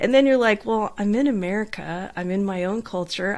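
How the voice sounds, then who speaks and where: A woman with a Southern California accent, medium pitch and lively intonation, on a very clean recording with a silent background. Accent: Southern California twang. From Southern California, beach town. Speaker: life coach. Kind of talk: podcast interview.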